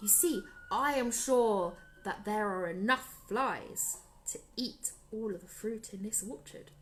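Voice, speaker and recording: A female-sounding voice puts on a character voice. It is fairly high in pitch and moves at a fairly slow pace. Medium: read story. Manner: confident, resourceful.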